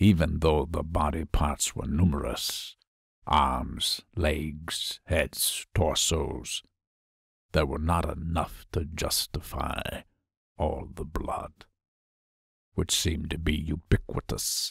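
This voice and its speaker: In a put-on character voice, a man speaks very slowly with a very deep, low pitch and long, frequent pauses. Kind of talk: horror narration.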